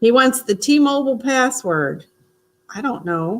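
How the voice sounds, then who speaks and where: A woman with an American accent speaks at a fairly slow pace, her fairly high pitch carried by lively intonation. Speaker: vlogger. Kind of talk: casual live stream chat. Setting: live stream.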